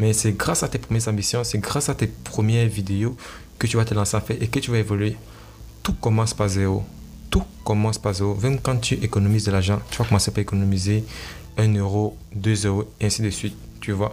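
Somewhat breathy, a man's fairly low voice moves with ordinary pitch variation. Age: young. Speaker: entrepreneur and blogger podcaster. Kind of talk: motivational solo talk. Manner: halting.

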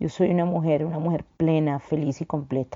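A woman with a fairly low voice speaks at a moderate pace in a monotone, flat intonation. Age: 40s. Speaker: lawyer and women's rights advocate. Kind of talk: testimony.

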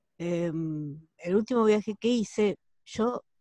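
In a Rioplatense accent, a woman speaks with a dark, mellow tone and lively intonation, recorded in a dry, close sound with no echo against a quiet background. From Argentina, La Plata. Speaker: accountant and tour guide. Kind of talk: online group discussion. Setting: video call.

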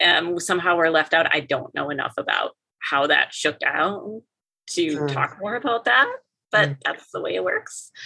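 A woman speaks with an Upper Midwest accent. Her pace is moderate. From Minnesota and North Dakota. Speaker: professor. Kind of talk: interview conversation.

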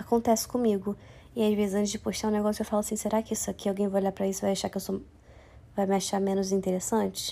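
A woman speaks very fast in a dark, mellow tone. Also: medium pitch for a woman. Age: 20s. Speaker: podcaster. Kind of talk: casual monologue. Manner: animated.

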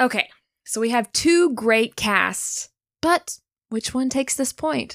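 A woman speaks very slowly at a high pitch, with ordinary pitch variation. The recording is very clean, with a silent background and a dry, close sound with no echo. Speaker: podcast host. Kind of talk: scripted podcast banter.

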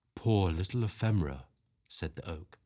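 Somewhat breathy, a man speaks with lively intonation in a very clean recording with a silent background. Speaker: podcast host reading stories aloud. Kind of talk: dramatic storybook narration, reading aloud. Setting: quiet spot away from the cold, home-recorded. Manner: slow, hushed and wistful, with expressive storytelling pacing; warm and cosy.

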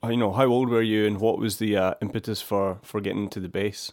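A man speaks in a Glasgow accent at a medium pitch. His intonation is monotone and flat. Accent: Scottish (Glasgow). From Scotland, near Glasgow. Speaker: podcast host, bass teacher. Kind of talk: interview. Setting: video call. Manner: hesitant with many fillers.

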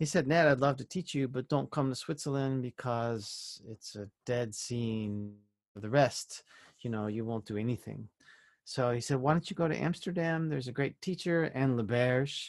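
In a plain, everyday voice, a man speaks at a moderate pace and medium pitch with an American accent and ordinary pitch variation. The sound is dry and close with no echo, over a quiet background. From California. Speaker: composer and flutist. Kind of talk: casual interview.

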